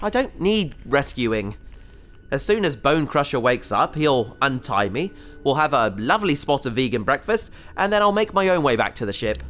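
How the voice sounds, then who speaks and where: Over music in the background, a man with a fairly high pitch sounds nervous, his voice swinging very widely in pitch at a moderate pace. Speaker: voice actor playing a character. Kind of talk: sci-fi audio drama, comic scripted dialogue. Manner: nervous, rambling, flustered and wry while trapped and in peril.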